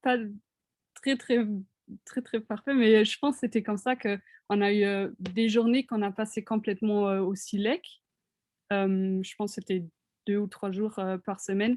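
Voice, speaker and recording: A woman talks at a medium pitch and a fairly slow pace, with fairly even intonation and long, frequent pauses. The sound is dry and close, with no echo. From Germany. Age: 20s. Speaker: international art student. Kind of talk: interview answers in webinar. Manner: halting, many hesitations.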